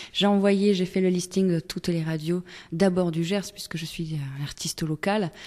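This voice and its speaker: A woman talks at a moderate pace with fairly even intonation. Her pitch is fairly low. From Togo. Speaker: singer-songwriter. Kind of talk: radio interview. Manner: hesitant, many fillers.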